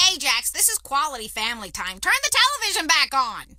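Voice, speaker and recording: Very fast and high-pitched, the put-on character voice swings very widely in pitch. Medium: video game. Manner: prim, fussy.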